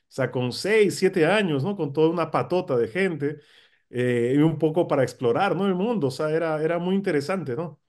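At a moderate pace, a man with a fairly high pitch and ordinary pitch variation speaks over a quiet background. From Peru, Lima; Peru. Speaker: political scientist and professor; professor. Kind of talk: interview. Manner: halting, with many fillers. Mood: relaxed, reminiscing. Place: home room. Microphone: video call.

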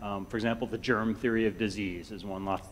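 The man talks at a moderate pace. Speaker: invited lecturer, college biology teacher. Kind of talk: lecture. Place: hall.

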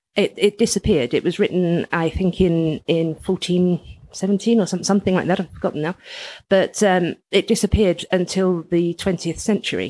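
In a London accent, a woman with a medium pitch and a dark, mellow tone speaks at a moderate pace with fairly even intonation, on a very clean recording with a silent background and a dry, close sound with no echo. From England, East London. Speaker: writer and magazine editor. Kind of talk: casual interview chat. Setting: in a house, in person.

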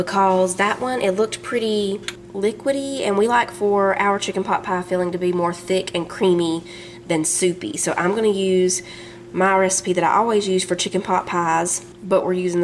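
A woman talks at a moderate pace with ordinary pitch variation and very even loudness. Light background noise sits underneath. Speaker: home cook vlogger. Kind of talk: cooking tutorial. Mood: cheerful, relaxed. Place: kitchen.

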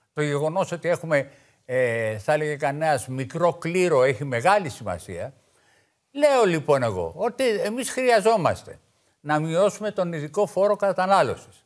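Fairly high in pitch, a man's voice makes very wide pitch swings at a fairly slow pace. The recording is very clean, with a silent background. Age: 60s. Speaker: veteran left-wing politician. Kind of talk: political talk show debate.

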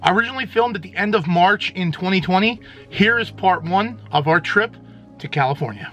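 Over faint music in the background, a man speaks in a raised, projected voice at a fairly quick pace with ordinary pitch variation, the sound dry with no echo. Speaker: channel host. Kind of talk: casual vlog chat. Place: home room. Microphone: phone near.

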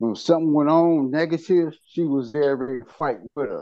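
A man's fairly high voice at a moderate pace, with ordinary pitch variation, dry sound with no echo and a quiet background. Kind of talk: support group sharing. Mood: reflective, earnest. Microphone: video call.

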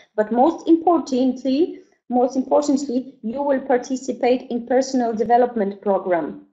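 A high-pitched woman at a moderate pace, with ordinary pitch variation against a quiet background. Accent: Polish. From Poland. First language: Polish. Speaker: network marketing presenter; presenter. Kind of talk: online sales presentation. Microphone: webcam.

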